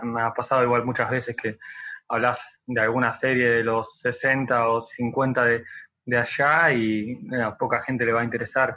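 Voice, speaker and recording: A man speaks at a fairly slow pace in a medium pitch, with flat, monotone intonation and very even loudness. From Argentina, Buenos Aires province. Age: 20s. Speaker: social media content creator. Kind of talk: interview.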